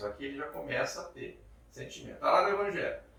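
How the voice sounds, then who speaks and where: A man's voice carries audible room echo. Noticeable background noise runs underneath. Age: 50s. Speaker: spiritist lecturer. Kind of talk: lecture.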